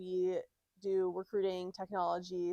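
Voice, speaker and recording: Quiet background, a woman, and a fairly slow pace. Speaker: community lead at a software company, former recruiter. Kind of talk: live panel conversation. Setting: small in-person event with audience, small mics. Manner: loud.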